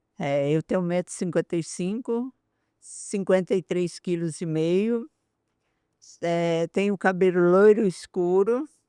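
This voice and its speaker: At a fairly slow pace, a woman with a dark, mellow tone speaks at medium pitch with ordinary pitch variation, the sound dry and close with no echo against a quiet background. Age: 60s. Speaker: pastoral coordinator. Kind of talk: podcast interview.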